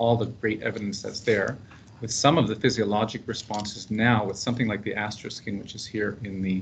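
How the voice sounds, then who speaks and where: Speaking at a fairly quick pace with a Canadian accent, a man's somewhat breathy voice sits at a medium pitch, and audible room echo surrounds it. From Canada, Prince Edward Island. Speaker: paramedic researcher. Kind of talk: seminar presentation. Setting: conference room with live and online audience. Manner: casual, humorous.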